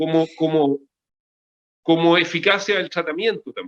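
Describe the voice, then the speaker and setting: Speaking fairly slowly in a high voice, a man is heard in a dry, close recording with no echo. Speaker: cardiologist. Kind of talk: interview. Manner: halting.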